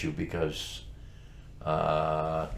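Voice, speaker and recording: The speaker is a man. Audible room echo hangs on his words. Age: 70s. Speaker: talk show co-host. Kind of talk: casual chat. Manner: animated.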